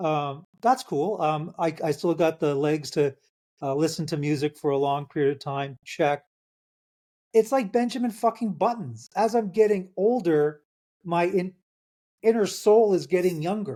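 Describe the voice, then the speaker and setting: Speaking at a fairly slow pace, a man has a high voice with a dark, mellow tone and lively intonation. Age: 60s. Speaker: author. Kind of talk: casual chat.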